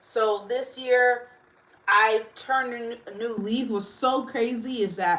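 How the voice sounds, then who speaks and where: A woman with an ordinary speaking voice uses fairly even intonation. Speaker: livestreamer. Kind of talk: casual chat. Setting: livestream.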